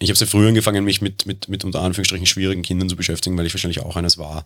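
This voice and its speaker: With a Viennese accent, a man speaks very fast at a very deep, low pitch with fairly even intonation, in a very clean recording with a silent background. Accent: Viennese Austrian German. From Vienna, Austria. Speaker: podcast editor and insurance worker. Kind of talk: casual interview.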